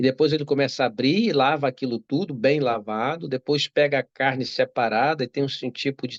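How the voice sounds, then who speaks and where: A man with a Brazilian accent speaks at a fairly high pitch. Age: 60s. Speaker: doctor. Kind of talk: interview. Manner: halting.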